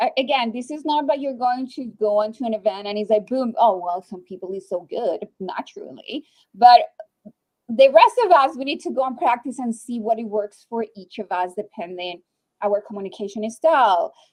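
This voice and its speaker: With a Spanish accent, a woman speaks high-pitched and with lively intonation. Her pace is moderate, and her loudness swings widely. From Colombia. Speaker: webinar host. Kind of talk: live webinar Q&A moderation.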